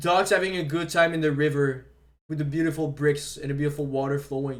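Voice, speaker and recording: A man's fairly high, monotone and flat voice at a fairly quick pace, in a French Canadian accent. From Quebec. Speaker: streamer. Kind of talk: casual live stream commentary. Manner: halting, repeats words.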